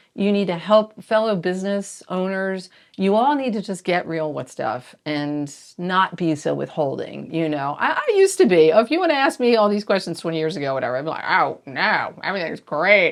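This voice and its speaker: A woman with an American accent speaks at a medium pitch and moderate pace in an animated tone. Her pitch swings very widely, with hardly any pauses. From US Northeast (South Jersey). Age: 60s. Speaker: store owner. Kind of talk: casual interview chat.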